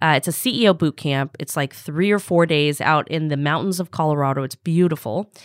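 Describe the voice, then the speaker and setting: A woman in an American accent, very deep and low in pitch, with ordinary pitch variation, a fairly quick pace, hardly any pauses and a dry, close sound with no echo. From Los Angeles, US. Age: 30s. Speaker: startup founder and CEO. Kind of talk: casual interview. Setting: podcast studio.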